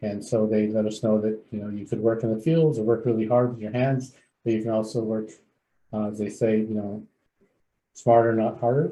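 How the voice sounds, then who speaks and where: With a Californian accent, a man of fairly low pitch talks at a fairly quick pace with fairly even intonation. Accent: Californian American English. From San Fernando Valley, California. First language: Spanish. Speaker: clinical psychologist and agency CEO. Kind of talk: onboarding presentation.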